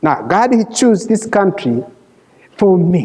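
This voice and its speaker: With a non-native accent, a man talks at a very slow pace. His pitch is high, and his intonation is lively. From Rwanda. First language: Kinyarwanda or French. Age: 50s. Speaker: refugee sharing his life story. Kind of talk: testimony. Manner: halting.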